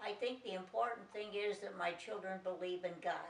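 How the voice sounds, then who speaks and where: Against noticeable background noise, a woman with an American accent speaks with fairly even intonation. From Chicago, US Midwest. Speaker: grandmother interviewed for family documentary. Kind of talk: family interview reminiscence.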